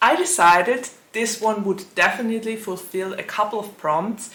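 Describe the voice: A woman speaks at a fairly slow pace with lively intonation. Her tone is fairly bright, and the room gives an audible echo.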